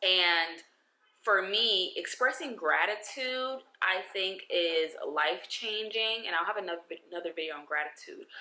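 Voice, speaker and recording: A woman with lively intonation amid noticeable background noise. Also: medium pitch for a woman, moderate pace. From New York. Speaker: lifestyle vlogger. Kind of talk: advice vlog. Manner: animated.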